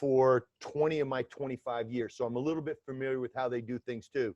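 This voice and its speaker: A man with a New York accent speaks at medium pitch in a dark, mellow tone. His pitch varies in an ordinary way, and the sound is dry and close, with no echo. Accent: New York accent, Brooklyn-like. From US South, Atlanta, Georgia. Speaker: former FBI agent. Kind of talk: interview.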